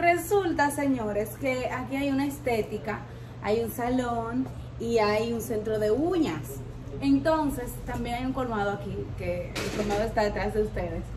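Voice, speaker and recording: Noticeable background noise sits behind this woman. She speaks at a fairly slow pace. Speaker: vlogger. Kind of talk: casual vlog chat. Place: street.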